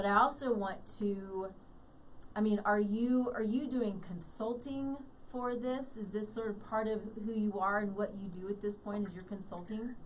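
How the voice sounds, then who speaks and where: Amid noticeable background noise and audible room echo, a woman speaks at a fairly high pitch and a moderate pace with fairly even intonation. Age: 50s. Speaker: radio host. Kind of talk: interview.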